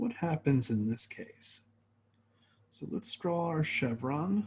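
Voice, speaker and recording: Very wide pitch swings mark a man's fairly high voice as he speaks at a very slow pace. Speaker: chemistry professor. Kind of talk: lecture.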